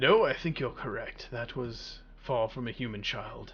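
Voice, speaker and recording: A man's put-on character voice at a moderate pace. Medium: actual play. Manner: measured, deliberate.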